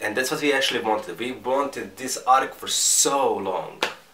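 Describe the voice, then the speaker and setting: A man with a non-native accent at a moderate pace, amid noticeable background noise and audible room echo. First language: not English. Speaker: manga reviewer. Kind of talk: casual review monologue. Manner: halting, with repetitions and fillers.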